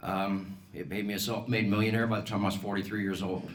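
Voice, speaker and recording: Very fast male speech in an American accent, with audible room echo. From Colorado, US. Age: 60s. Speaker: political candidate, business owner. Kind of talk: campaign speech.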